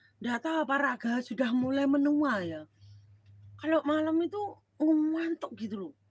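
A woman speaks with a high pitch. Her pace is fairly slow. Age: middle-aged. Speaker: live streamer. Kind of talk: casual live stream chat. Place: home room. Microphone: phone near.

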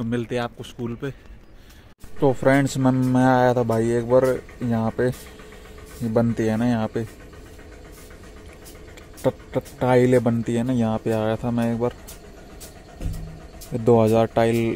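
A man with a dark, mellow tone speaks at medium pitch and a fairly slow pace, his intonation monotone and flat, with long, frequent pauses.

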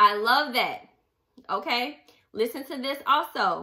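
A woman talks at a high pitch with very wide pitch swings in an animated tone. Her tone is bright and sharp, and the background is quiet. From US. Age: 30s. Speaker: book club podcast host. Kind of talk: casual monologue with book readings. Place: home room. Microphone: studio mic.

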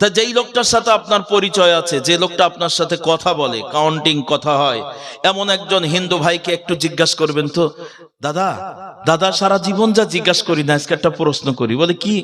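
An animated man speaks in a high pitch with ordinary pitch variation. Noticeable background noise is present. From Bangladesh. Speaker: Islamic preacher. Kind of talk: sermon. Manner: animated, calls for loud audience responses.

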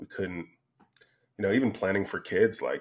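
A man speaks in a very deep, low voice against a quiet background. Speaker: podcast guest. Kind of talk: interview answer. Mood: reflective, candid. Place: home room. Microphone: studio mic.

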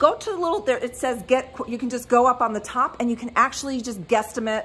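A woman speaks with ordinary pitch variation while music plays in the background. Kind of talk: live-sale shop tour commentary. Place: shop. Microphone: phone near.

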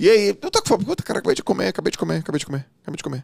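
Against a quiet background, a man talks with vocal fry in a dry sound with no echo. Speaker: former swimmer, coach and business mentor; coach. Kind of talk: casual interview. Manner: animated. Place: studio. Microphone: studio mic.

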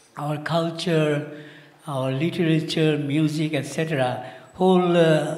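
A man speaks with audible room echo. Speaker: speaker. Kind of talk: conference talk. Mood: earnest, warm. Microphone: handheld.

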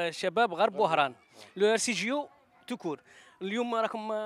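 At a moderate pace and with ordinary pitch variation, a man speaks over light background noise in a dry sound with no echo. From Algeria. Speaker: TV sports reporter. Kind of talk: field interview. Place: stadium. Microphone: handheld.

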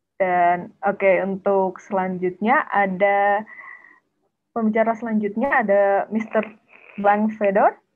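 Spoken with an Indonesian accent at a fairly slow pace, the voice keeps a very even loudness and fairly even intonation. Long pauses come often. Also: woman. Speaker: webinar moderator and interpreter; moderator. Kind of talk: event moderation. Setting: video call. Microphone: video call.

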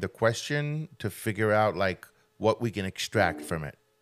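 Fairly low in pitch, a man talks at a fairly slow pace. His pitch variation is ordinary. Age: 40s. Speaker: podcast co-host. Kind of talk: casual chat. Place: studio. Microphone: studio mic.

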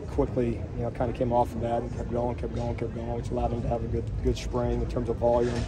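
Over noticeable background noise, a man speaks at a very fast pace. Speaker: football coach. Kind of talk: interview answer. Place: street.

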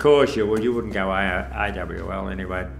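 A man speaks with vocal fry over light background noise. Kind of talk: interview answer. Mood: calm, reflective, somber moments. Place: studio.

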